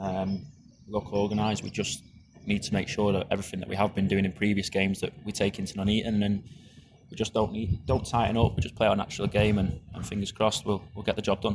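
The man talks at a very fast pace with monotone, flat intonation. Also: fairly low pitch for a man. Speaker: footballer. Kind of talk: interview answers.

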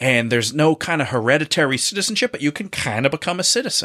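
A man with a North Jersey accent speaks in a bright, sharp, animated tone with vocal fry at a fairly high pitch. The sound is dry and close, with no echo. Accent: North Jersey American. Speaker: improviser and actor guest. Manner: jokey, animated.

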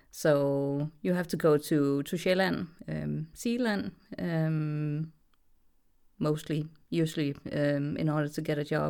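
On a very clean recording with a silent background, a woman with a Danish accent speaks in a very deep, low pitch. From Denmark. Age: 30s. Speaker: voice actress. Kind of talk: casual interview. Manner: hesitant, many fillers; giggly, laughs often.

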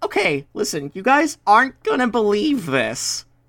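A man puts on a character voice at a high pitch. His pitch swings very widely, at a moderate pace.

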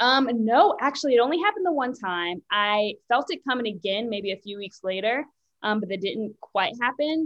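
Lively intonation and a fairly high pitch mark a woman's normal speaking voice, delivered at a moderate pace. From US, Richmond, Virginia. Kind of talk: interview.

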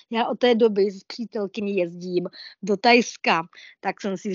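Intonation stays flat and monotone throughout. The delivery is fairly slow. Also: woman. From Olomouc region, Moravia. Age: 40s. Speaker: blind traveller. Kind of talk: interview. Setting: online talk.

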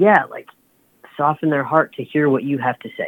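A woman speaks at a very deep, low pitch. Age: 20s. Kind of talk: testimony.

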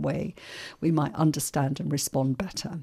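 A woman speaks with vocal fry at a very deep, low pitch. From Ireland, raised in London from age seven. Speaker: mental health researcher. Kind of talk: radio interview. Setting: radio studio.

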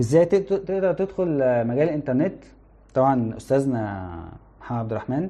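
The voice is dark and mellow, with very wide pitch swings. It moves at a moderate pace with long, frequent pauses. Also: man, fairly high pitch for a man. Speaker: internet company product manager, guest speaker. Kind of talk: livestream talk to students. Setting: live stream.

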